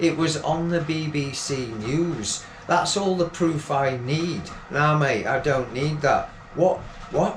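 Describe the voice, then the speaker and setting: Noticeable background noise and audible room echo surround a man speaking at a very slow pace. His pitch is fairly high, with ordinary variation. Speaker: poet. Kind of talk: poetry reading.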